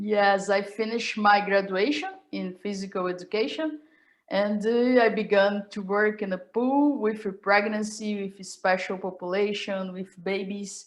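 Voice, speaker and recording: A woman in a Brazilian Portuguese accent speaks at a medium pitch and moderate pace with fairly even intonation. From Brazil, Rio de Janeiro. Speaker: professor. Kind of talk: casual chat. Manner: halting.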